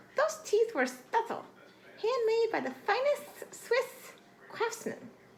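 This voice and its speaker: Putting on a character voice, a woman mumbles at a fairly slow pace with lively intonation and an extremely high pitch. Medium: read story. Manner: mumbling, melodramatic.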